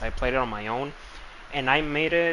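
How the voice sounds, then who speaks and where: With a non-native accent, the voice moves at a fairly quick pace in a bright, sharp tone. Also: man. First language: not English. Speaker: game streamer. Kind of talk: live gameplay stream commentary. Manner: casual, hesitant with repetitions.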